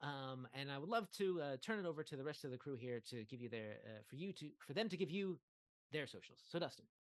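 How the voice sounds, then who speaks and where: This man talks at a very fast pace in a fairly high pitch. His intonation is lively. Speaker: game master and game developer. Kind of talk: wrap-up of a live tabletop game stream. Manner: halting, many fillers and stutters.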